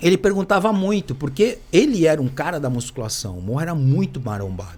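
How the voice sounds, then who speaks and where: Fairly quick and somewhat breathy, the voice swings very widely in pitch. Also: man, fairly high pitch for a man. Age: 60s. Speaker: former cyclist and physical educator. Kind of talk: casual chat.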